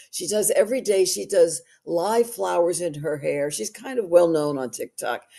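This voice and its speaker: In a New York accent, a woman speaks at a moderate pace with fairly low pitch, lively intonation and a dark, mellow tone. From New York City. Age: 80s+. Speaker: actress and social media personality. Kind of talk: interview conversation. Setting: livestream.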